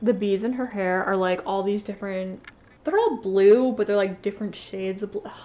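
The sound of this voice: A woman's medium-pitched voice at a moderate pace, with ordinary pitch variation and a dark, mellow tone.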